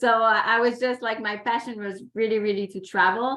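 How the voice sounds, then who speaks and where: A woman speaks with a Quebec accent. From Quebec, Canada. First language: French. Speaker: environmental consultant and youth ambassador. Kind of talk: webinar panel talk. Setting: video call.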